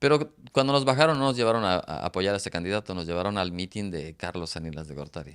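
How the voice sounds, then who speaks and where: At a moderate pace, a man with a very deep, low voice talks with very wide pitch swings. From Mexico, Oaxaca. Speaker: author. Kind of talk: interview. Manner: halting, many repeated syllables.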